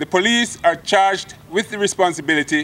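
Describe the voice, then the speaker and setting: Here a man is talking. His pitch is high. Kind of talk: formal acceptance speech. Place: open country. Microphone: podium.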